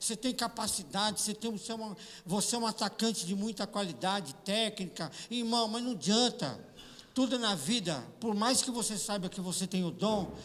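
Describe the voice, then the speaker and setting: Here a man speaks with a high pitch. His pitch varies in an ordinary way, at a moderate pace. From Brazil, São Paulo. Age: 60s. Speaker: pastor. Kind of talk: sermon. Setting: church.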